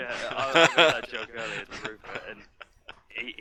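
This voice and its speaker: A man talks at a moderate pace with noticeable background noise in the recording. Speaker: game streamer. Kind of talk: casual chat. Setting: voice call.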